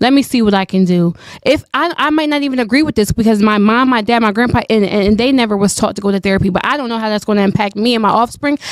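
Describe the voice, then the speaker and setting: Hardly pausing at all, a woman talks at a very fast pace in a fairly high pitch. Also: ordinary pitch variation. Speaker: debate guest. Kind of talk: heated debate.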